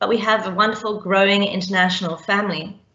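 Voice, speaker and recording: A woman with a South African accent speaks amid audible room echo. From South Africa, Cape Town. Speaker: teacher. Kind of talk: panel presentation.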